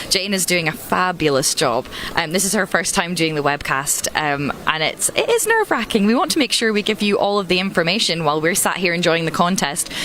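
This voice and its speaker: Speaking in a Scottish accent at a fairly quick pace with hardly any pauses, a woman with a fairly low pitch keeps very even loudness and ordinary pitch variation over noticeable background noise. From Scotland. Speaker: choir director and webcast host. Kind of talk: live event commentary. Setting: live event webcast at a concert venue.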